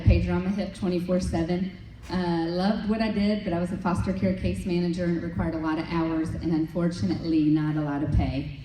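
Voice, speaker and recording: A woman speaks at a fairly quick pace in a fairly low voice with ordinary pitch variation. Audible room echo and noticeable background noise accompany her. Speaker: direct sales leader. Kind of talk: motivational talk. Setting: stage with audience. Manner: animated.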